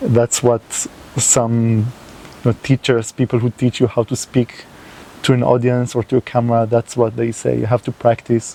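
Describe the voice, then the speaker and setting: In a non-native accent, a man with a medium pitch speaks at a moderate pace in a flat monotone, with a dry, close sound and no echo. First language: not English. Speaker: environmental video creator. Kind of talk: unscripted monologue to camera. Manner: halting, with fillers.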